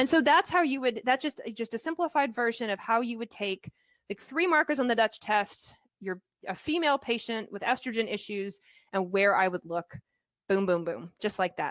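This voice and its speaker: Speaking at a fairly high pitch, a woman uses lively intonation. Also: dry, close sound with no echo. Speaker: medical doctor presenting a webinar. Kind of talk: educational webinar lecture. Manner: fast.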